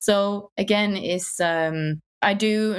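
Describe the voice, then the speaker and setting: Speaking with a strong northern English accent and fairly even intonation, a woman is heard in a very clean recording with a silent background. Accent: strong northern English accent, often mocked. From northern England, Wigan. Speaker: UX designer, accessibility champion. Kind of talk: podcast interview.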